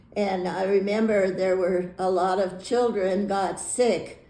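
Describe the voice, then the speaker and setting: In a room with audible echo, a woman of medium pitch speaks at a very slow pace in a dark, mellow, monotone, flat voice. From US, Navy family; Hawaii and Florida. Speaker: retired teacher. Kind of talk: life story interview. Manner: halting, many fillers and repeats.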